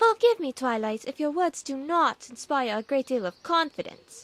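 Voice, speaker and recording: A female-sounding, put-on character voice sits high in pitch and swings very widely. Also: moderate pace. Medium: machinima. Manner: theatrical, refined, drawn-out.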